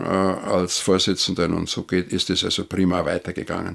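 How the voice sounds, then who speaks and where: Against a quiet background, a man speaks at a very deep, low pitch. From Upper Bavaria, Rosenheim district; Upper Bavaria. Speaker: retired official and former city councillor; former city councillor, witness. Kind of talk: interview. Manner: halting. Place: home room.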